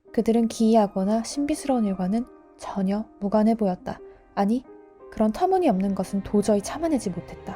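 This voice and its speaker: A fairly quick, fairly high female voice over music in the background. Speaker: teacher and audiobook narrator. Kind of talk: audiobook narration, bilingual Korean-English, sleep listening.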